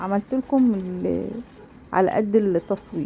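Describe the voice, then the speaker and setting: Dark and mellow in tone, a woman's voice moves at a fairly slow speed. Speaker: cooking channel host. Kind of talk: cooking tutorial. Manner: casual, many fillers.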